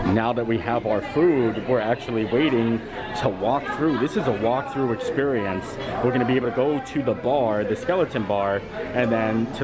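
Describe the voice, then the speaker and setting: A man at a moderate pace, very even in loudness, with crowd noise in the background. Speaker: travel vlogger. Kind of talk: vlog commentary. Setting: outdoors. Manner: animated.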